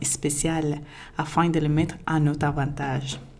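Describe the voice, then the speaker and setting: Audible room echo surrounds a woman with a non-native accent and a dark, mellow tone who speaks at a very slow pace. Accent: foreign accent in French. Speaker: podcaster. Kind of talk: podcast monologue.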